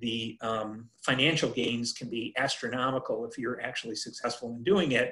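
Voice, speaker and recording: Moderate pace from a man with an American accent, ordinary pitch variation, quiet background. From US Midwest. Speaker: entrepreneur and author; presenter. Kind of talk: workshop presentation. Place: home room. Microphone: video call.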